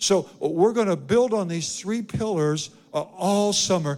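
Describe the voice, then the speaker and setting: A man talks at a fairly slow pace with lively intonation. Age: 70s. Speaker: pastor. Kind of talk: sermon. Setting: church. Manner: animated.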